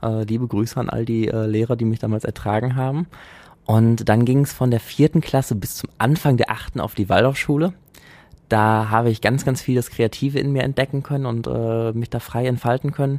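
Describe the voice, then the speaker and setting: A man's normal speaking voice, medium in pitch, fairly quick, with fairly even intonation. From Germany, Essen (Ruhr area). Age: 20s. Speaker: androgynous model and stylist. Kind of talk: casual chat. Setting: studio.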